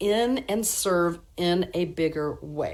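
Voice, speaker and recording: A woman talks at medium pitch with lively intonation. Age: 60s. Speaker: numerologist workshop presenter. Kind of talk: live online workshop.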